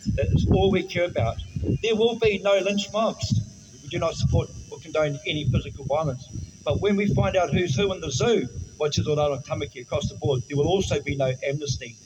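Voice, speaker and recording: Fairly quick speech from a man in a New Zealand accent, fairly high in pitch with very wide pitch swings, over noticeable background noise. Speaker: political party spokesperson. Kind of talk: public speech at a protest. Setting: outdoors outside a government office.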